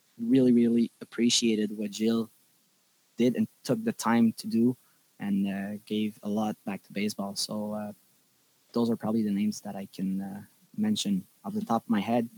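A man with a Quebec accent, a dark, mellow tone and monotone, flat intonation, recorded with a dry, close sound and no echo. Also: moderate pace, big swings in loudness. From Quebec, Laval. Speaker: baseball umpire. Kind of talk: casual interview.

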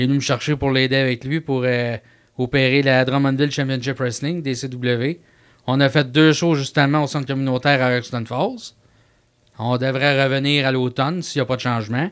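Recorded very cleanly against a silent background, a man speaks with a Quebec accent. His pitch is medium, his intonation fairly even and his pace moderate. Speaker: wrestling manager. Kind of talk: interview.

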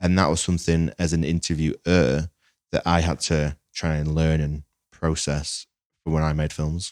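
A man with a Lancashire accent, very deep and low in pitch, monotone and flat at a moderate pace, on a very clean recording with a silent background and a dry, close sound with no echo. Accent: northern English (Lancashire). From northern England (Lancaster, Lancashire). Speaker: filmmaker. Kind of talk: casual chat.

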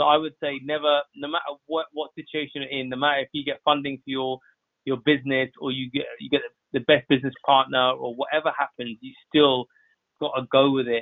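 A man with a London accent speaks at a fairly quick pace in a monotone, flat intonation. His loudness shows big swings. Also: fairly high pitch for a man. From West London (Southall), England. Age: 30s. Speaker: photographer. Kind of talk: podcast interview. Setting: podcast recording.

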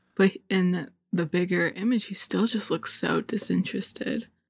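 On a very clean recording with a silent background and a dry, close sound with no echo, a woman speaks at a medium pitch with vocal fry. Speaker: graphic designer. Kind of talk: casual chat, hentai review.

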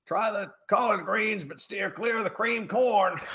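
A man's put-on character voice in a strong Southern US accent, high in pitch, with fairly even intonation and a moderate pace. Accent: big Southern.

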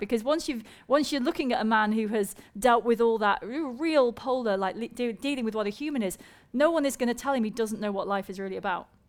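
A woman speaks with a British accent at a fairly high pitch. Her intonation is lively and her pace fairly quick. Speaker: science presenter and co-host. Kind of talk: live stage conversation with audience. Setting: stage with audience.

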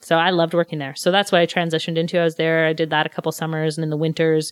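A woman with a Montreal accent and fairly low pitch talks at a very fast pace. The recording is very clean, with a silent background and a dry, close sound with no echo. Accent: English-speaking Montreal Canadian. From Montreal, West Island (Quebec). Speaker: restaurant manager turned real estate agent. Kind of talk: casual interview.

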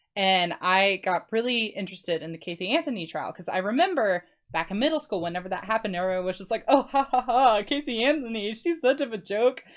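With an American accent, a woman speaks at a very fast pace and fairly high pitch, her intonation lively. The recording is very clean, the background silent. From Florida Panhandle. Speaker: podcast guest, former co-host. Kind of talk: casual chat.

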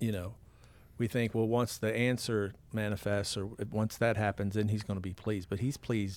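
With a plain, everyday voice, a man speaks at a fairly low pitch and a moderate pace, his intonation fairly even. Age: 50s. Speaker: pastor and podcast host. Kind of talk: casual faith conversation.

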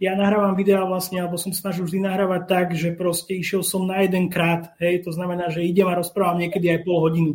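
A man's high-pitched voice, very fast and monotone with flat intonation and hardly any pauses. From Slovakia. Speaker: whisky youtuber. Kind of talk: casual chat.

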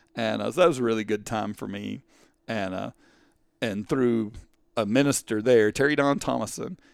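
A moderate pace and ordinary pitch variation in a very clean recording with a silent background. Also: man. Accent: East Texas. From East Texas (Canton). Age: 50s. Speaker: school administrator and teacher. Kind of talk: casual interview chat.

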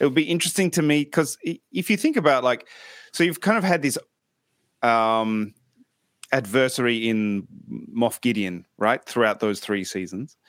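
With an Australian accent, a man talks at a moderate pace and pauses long and often. The recording is very clean, with a silent background. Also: medium pitch for a man, dry, close sound with no echo. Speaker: podcast host. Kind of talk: casual interview chat. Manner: hesitant, many fillers.

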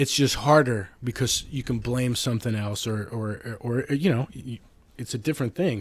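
Somewhat breathy, a man is speaking. His pace is moderate. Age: 50s. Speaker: artist and filmmaker. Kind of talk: casual chat. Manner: animated.

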